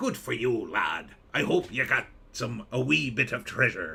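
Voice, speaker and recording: A man puts on a character voice at medium pitch. He talks at a moderate pace. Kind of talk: Scottish-tinged pirate talk.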